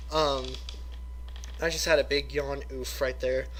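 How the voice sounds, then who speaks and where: There is noticeable background noise. The speaker is a man. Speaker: YouTuber reviewing custom card sets. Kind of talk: casual video commentary. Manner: halting, many fillers.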